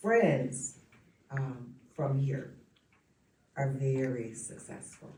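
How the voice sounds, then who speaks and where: A very slow, somewhat breathy woman's voice with a very deep, low pitch and an American accent, in audible room echo. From Detroit area, Michigan (Highland Park). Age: 60s. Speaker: committee member. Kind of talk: committee meeting discussion.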